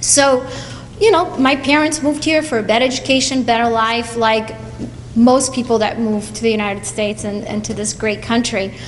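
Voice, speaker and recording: A woman's fairly high voice with a Portuguese accent, amid noticeable background noise and audible room echo. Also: ordinary pitch variation, moderate pace. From Portugal. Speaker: college advisor. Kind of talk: speech to students at school event.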